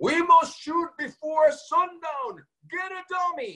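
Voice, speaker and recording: The speaker puts on a character voice and talks at a fairly slow pace. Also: man, extremely high pitch for a man. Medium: stage play. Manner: grand, declarative.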